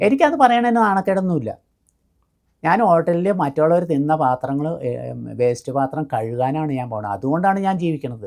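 This woman's voice sits very deep and low, with very wide pitch swings. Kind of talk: life story interview.

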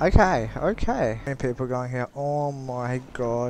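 Faint music plays behind a man who speaks quietly at a fairly slow pace in an excited tone, the sound dry with no echo. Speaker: gaming YouTuber. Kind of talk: gameplay commentary. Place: home room. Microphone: headset.

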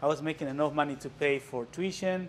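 A man is talking. His accent is Mexican. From Mexico. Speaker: visual artist. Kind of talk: gallery walkthrough talk. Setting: gallery with live audience. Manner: halting. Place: hall. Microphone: camera far.

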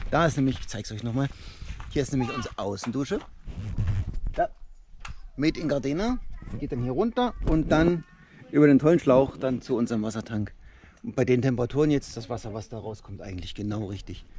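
A man with a dark, mellow tone speaks at a fairly quick pace. The sound is dry with no echo, and there is noticeable background noise. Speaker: family father vlogger. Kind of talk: casual vlog chat. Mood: cheerful, relaxed. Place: open country. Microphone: phone near.

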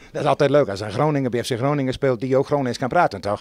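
Talking at a fast pace, a man has a slightly mellow tone.

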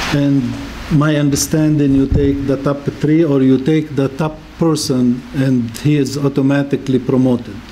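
A man speaks at a moderate pace with a fairly high pitch and a monotone, flat intonation. His loudness stays very even over light background noise. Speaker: city council member. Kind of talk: city council meeting. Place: meeting room. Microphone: podium.

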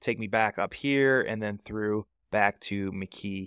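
Recorded dry with no echo, a man speaks against a quiet background. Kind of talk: tutorial. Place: home room. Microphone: studio mic.

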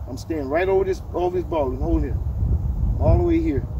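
A man talks at a fairly quick clip. The sound is dry with no echo, and background noise is noticeable. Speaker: golf instructor. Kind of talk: instructional talk to camera. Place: open country. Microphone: camera far.

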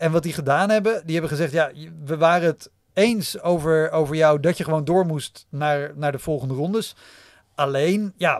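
An ordinary speaking voice, with ordinary pitch variation and a moderate pace, sounds dry with no echo over a quiet background. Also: man, fairly high pitch for a man. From Netherlands. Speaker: stand-up comedian and podcaster; podcast guest. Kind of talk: casual chat. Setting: studio. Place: studio. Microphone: studio mic.

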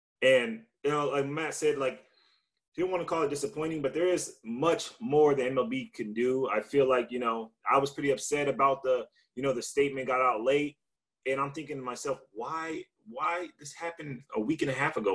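With an American accent, a man speaks at a fairly quick pace with ordinary pitch variation against a quiet background. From Victorville, California; California. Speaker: baseball pitcher; panelist. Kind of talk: panel discussion. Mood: earnest, somewhat upset. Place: home room. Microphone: video call.

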